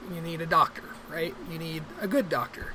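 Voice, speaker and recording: A woman with an American accent talks at a moderate pace and fairly low pitch, with ordinary pitch variation over noticeable background noise. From Arkansas River Valley, US South. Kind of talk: casual vlog. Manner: halting, many fillers.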